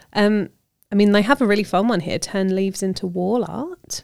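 A woman's fairly high voice with a British accent on a very clean recording with a silent background. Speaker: podcast host, magazine editor. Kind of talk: casual chat.

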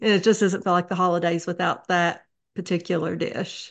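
In an Appalachian accent, a woman speaks at a medium pitch. The background is quiet. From Eastern Kentucky, Letcher County. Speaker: memoir author. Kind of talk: interview.

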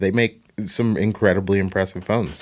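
This man has an unremarkable speaking voice, fairly low in pitch, with an American accent and a moderate pace. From Portland, Oregon. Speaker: podcast co-host. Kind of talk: casual chat.

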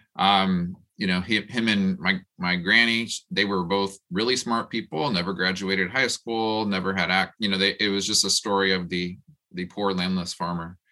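A man speaks with a fairly low pitch and a bright, sharp tone. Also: fairly even intonation, moderate pace. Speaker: professor and housing researcher. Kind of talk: panel discussion. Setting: video call.

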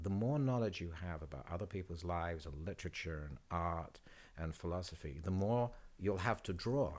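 With a British accent, a man talks at a moderate pace. His intonation is lively. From Britain. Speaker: photographer. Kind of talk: casual chat.

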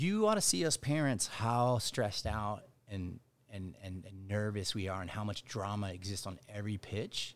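A man's fairly low voice, an unremarkable speaking voice at a moderate pace with ordinary pitch variation, on a very clean recording with a silent background. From Dallas, Texas. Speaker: baseball brand co-founder, former pro baseball player. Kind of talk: casual interview.

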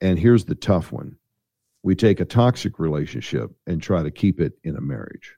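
An American accent with vocal fry, a dark, mellow tone and lively intonation at a moderate pace, in a dry, close sound with no echo. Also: man, very deep, low pitch for a man. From Missouri, US. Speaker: pastor and author. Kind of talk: interview.

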